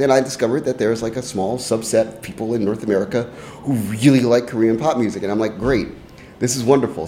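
A man with a medium pitch talks at a very fast pace with fairly even intonation over noticeable background noise. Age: 30s. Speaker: music writer and contributor. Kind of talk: casual chat. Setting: studio.

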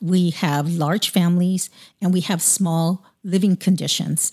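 Somewhat breathy, this woman's voice sits at a medium pitch. She speaks at a moderate pace. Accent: American. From US West Coast, Long Beach, California. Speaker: podcast host. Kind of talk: interview.

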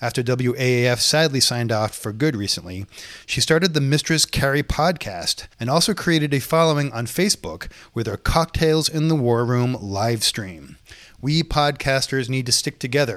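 A man with an American accent and an ordinary speaking voice, medium pitch, ordinary pitch variation and a moderate pace. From Boston, Massachusetts. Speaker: podcast host. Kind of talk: casual interview chat; scripted intro. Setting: video call.

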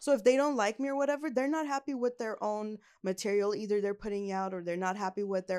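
The speaker talks very fast with a Californian accent, lively intonation and hardly any pauses. The recording is very clean with a silent background. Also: woman. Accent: Californian American. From Los Angeles, US. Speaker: comedian. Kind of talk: casual interview. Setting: studio.

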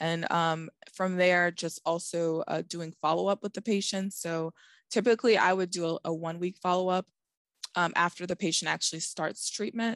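A woman with an ordinary speaking voice talks at a moderate pace and fairly low pitch, with fairly even intonation, in a dry, close sound with no echo and a quiet background. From Boston. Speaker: oncology pharmacist. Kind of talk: interview.

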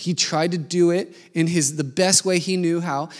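A man speaks in a high voice. The recording is very clean, with a silent background. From Denver, Colorado, US. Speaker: missionary and preacher. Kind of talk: sermon.

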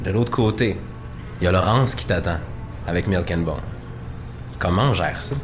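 With a very deep, low pitch and lively intonation, a man talks at a fairly quick pace with long, frequent pauses, amid noticeable background noise and audible room echo. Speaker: music podcast host. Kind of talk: radio-style music show hosting and interview.

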